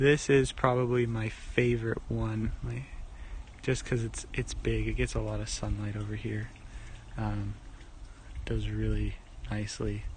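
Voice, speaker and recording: A soft-spoken man at a fairly slow pace, with long, frequent pauses and audible room echo. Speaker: home gardener. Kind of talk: casual garden tour. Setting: outdoors in garden. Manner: casual, rambling with fillers; quiet, soft-spoken.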